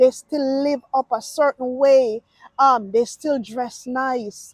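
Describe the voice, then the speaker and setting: Very slowly, a woman speaks in a high pitch with fairly even intonation. The sound is dry and close, with no echo. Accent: American. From Jamaica. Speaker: YouTuber giving reaction commentary. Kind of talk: casual reaction monologue. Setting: outdoors, walking in a park.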